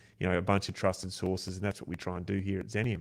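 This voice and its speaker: Over a silent background in a very clean recording, the speech races at a very fast pace with an Australian accent. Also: man. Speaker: podcast host. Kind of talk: casual interview chat. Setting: live video stream.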